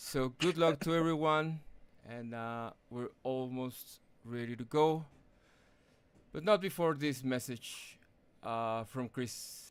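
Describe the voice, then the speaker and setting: On a very clean recording with a silent background, a man with a non-native accent speaks very slowly with long, frequent pauses, his medium pitch showing ordinary variation. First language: not English. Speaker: sim racing broadcast commentator. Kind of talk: live race broadcast; tribute speech. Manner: halting, many fillers.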